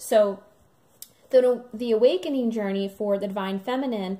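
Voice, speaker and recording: With a dark, mellow tone, a woman speaks at a fairly high pitch with ordinary pitch variation. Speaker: spiritual channeler and twin flame guide. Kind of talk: channeled spiritual message to camera. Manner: many filler ums, hesitant.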